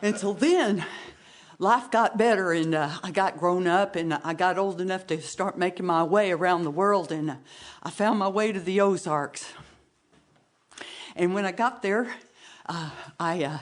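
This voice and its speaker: A woman speaks at a moderate pace with a medium pitch and ordinary pitch variation. She leaves long, frequent pauses. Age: 50s. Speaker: storyteller. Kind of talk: storytelling competition performance. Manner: halting, with frequent repetitions and fillers; folksy, conversational.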